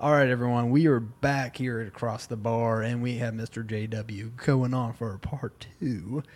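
An ordinary speaking voice from a man at a medium pitch, fairly slow and fairly even in intonation, with hardly any pauses. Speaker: podcast host. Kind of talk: casual chat. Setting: bar.

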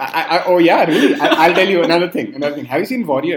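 Animated in tone, a man speaks very fast at a high pitch with very wide pitch swings. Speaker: podcast host. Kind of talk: casual chat.

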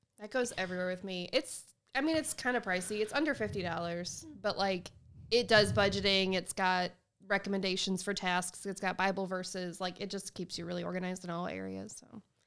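With a normal speaking voice, a woman talks at a fairly quick pace, her pitch medium and its variation ordinary. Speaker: digital marketing team member. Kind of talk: casual chat. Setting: sharing a mic in office.

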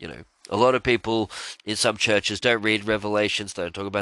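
Speaking very fast in an animated, bright, sharp tone, a man with a fairly low pitch is heard in a dry, close sound with no echo over a quiet background. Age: 20s. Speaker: religious podcaster. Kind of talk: solo religious monologue.

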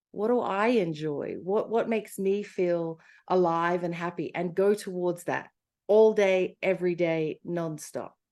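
A woman with an Australian accent, medium in pitch and dark, mellow in tone, at a fairly slow pace with fairly even intonation against a quiet background. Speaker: life coach. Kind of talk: interview.

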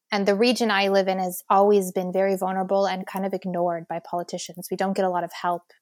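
A woman at medium pitch with an American accent, very fast and flat in monotone intonation, dry and close with no echo. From United States. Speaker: social entrepreneur. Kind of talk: interview.

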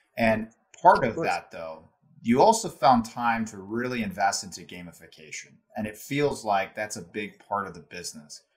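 A man with a normal speaking voice and a fairly low pitch talks at a moderate pace with big swings in loudness. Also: ordinary pitch variation. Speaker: podcast host. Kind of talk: interview conversation.

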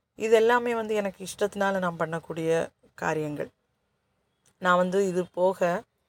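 A woman in a normal speaking voice talks at medium pitch with ordinary pitch variation, the sound dry and close with no echo on a very clean recording with a silent background. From Kanyakumari district, Tamil Nadu–Kerala border. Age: 40s. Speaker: podcaster and story writer. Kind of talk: casual monologue. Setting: government office waiting area.

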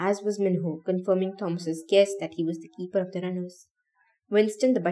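In a natural reading voice with fairly even intonation, the speech sits over a quiet background.

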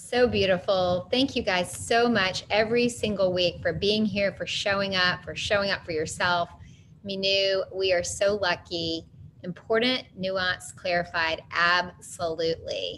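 Her pace is fairly slow, and her intonation stays fairly even. This woman has an unremarkable speaking voice with a medium pitch. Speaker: session moderator. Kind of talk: casual closing remarks. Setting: online group session.

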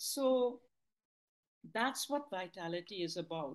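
The speaker is a woman talking at a very slow pace. Her pitch swings very widely. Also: quiet background. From Trinidad. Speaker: linguist and author. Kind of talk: interview.

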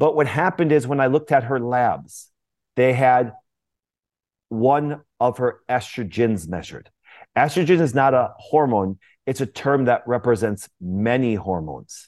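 With an ordinary speaking voice, a man talks at a moderate pace and medium pitch, his intonation lively. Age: 40s. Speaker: chiropractor and wellness educator. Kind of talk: interview.

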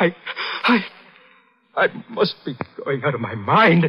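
A man uses a put-on character voice, fairly high in pitch, with a husky, rough edge. He talks slowly, and his pitch swings widely.

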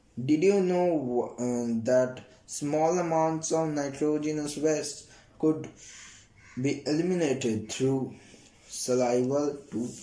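Audible room echo surrounds the recording. A man speaks at a very slow pace with ordinary pitch variation. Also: fairly high pitch for a man. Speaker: student study podcaster. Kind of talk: reading aloud textbook summary. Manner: halting with fillers.

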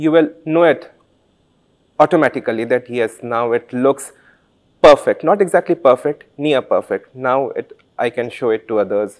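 Speaking with an Indian accent, a man uses a fairly high pitch and ordinary pitch variation at a moderate pace. Long pauses come often, and the sound is dry and close with no echo. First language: Santali. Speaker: author and doctor. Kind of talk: interview. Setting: literature festival.

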